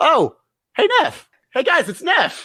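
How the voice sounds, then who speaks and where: An extremely high, squeaky put-on character voice. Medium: actual play.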